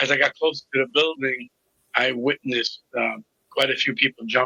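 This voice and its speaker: With a Brooklyn accent, a man speaks at medium pitch and a moderate pace. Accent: New York (Brooklyn). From New York City (Brooklyn). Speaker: recovery coach. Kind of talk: interview testimony.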